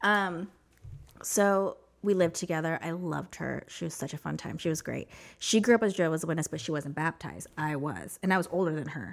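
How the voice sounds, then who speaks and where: A woman with an American accent speaks in a fairly low voice with some vocal fry and ordinary pitch variation. The recording is very clean, with a silent background. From US Southwest (New Mexico). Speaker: ex-Jehovah's Witness sharing her story. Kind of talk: testimony.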